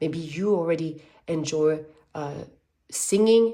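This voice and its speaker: The voice has a dark, mellow tone and a slight French accent, with ordinary pitch variation. Room echo is audible. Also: woman. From French-speaking background. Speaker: tarot reader. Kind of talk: tarot reading. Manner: animated.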